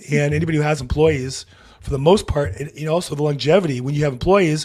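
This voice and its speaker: A man talks at a very fast pace with a fairly high pitch. His voice is somewhat breathy, with ordinary pitch variation. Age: 60s. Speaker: real estate podcast host. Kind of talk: interview.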